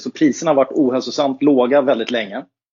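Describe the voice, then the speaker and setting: The pace is fairly quick. It is a normal speaking voice. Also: man. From Stockholm, Sweden. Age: 40s. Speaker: company executive. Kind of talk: interview.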